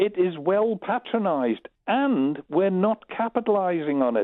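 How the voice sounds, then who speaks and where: A high-pitched man with a Manx accent and very wide pitch swings. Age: 70s. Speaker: caller. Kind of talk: phone-in call.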